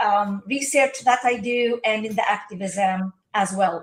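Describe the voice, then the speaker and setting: A woman with an Arabic accent talks very slowly. Her pitch is fairly high, with ordinary pitch variation. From Palestine. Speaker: social work professor. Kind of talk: podcast interview. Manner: hesitant, many fillers.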